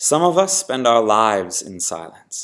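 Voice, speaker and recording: A man speaks fairly slowly at a medium pitch. It is an ordinary speaking voice. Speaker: spoken word poet. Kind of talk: spoken word poetry.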